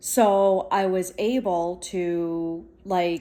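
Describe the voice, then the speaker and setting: The tone is dark and mellow. It belongs to a woman. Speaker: vlogger. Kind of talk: casual vlog monologue. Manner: loud; animated.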